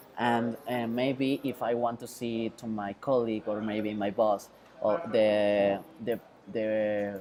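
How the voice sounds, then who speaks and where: The voice carries a Mexican accent. Noticeable background noise runs under it. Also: man. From Mexico. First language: Spanish. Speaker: web developer. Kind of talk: tutorial. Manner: halting, many fillers.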